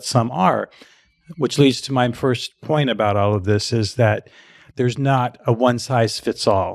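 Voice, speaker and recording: A man with an unremarkable speaking voice talks at a medium pitch and a fairly slow pace with fairly even intonation, the sound dry and close with no echo and the recording very clean with a silent background. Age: 60s. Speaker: fitness marketing expert and author. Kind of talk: casual interview chat.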